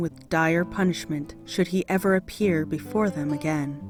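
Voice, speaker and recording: Over music in the background, a woman with a fairly low voice and an American accent speaks fairly slowly, her tone calm and soothing and her intonation lively. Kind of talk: audiobook reading of mythology. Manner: calm, soothing.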